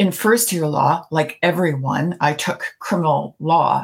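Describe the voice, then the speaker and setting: A woman with a Canadian accent speaks at a fairly slow pace in a fairly low pitch, with vocal fry and ordinary pitch variation. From Canada, Toronto. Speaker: retired judge. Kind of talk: interview.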